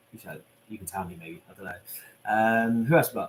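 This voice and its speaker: Somewhat breathy, the voice moves at a very fast pace. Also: man. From southern England, Portsmouth. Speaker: YouTuber visiting celebrity graves. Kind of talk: live stream Q&A reading chat. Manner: casual, chatty.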